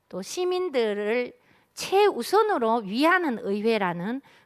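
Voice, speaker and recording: Lively intonation from a woman, captured on a very clean recording against a silent background. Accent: Daegu. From South Korea, Daegu. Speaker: city council member. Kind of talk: keynote speech at policy forum.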